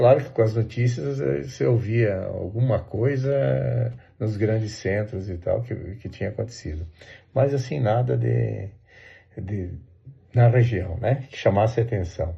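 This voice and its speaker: A man's fairly low-pitched, dark, mellow, somewhat breathy voice at a fairly slow pace, with lively intonation and big swings in loudness. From southern Brazil, Santa Catarina interior. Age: 60s. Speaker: interviewee recalling the dictatorship. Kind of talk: oral history interview. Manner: hesitant, many fillers and repeats.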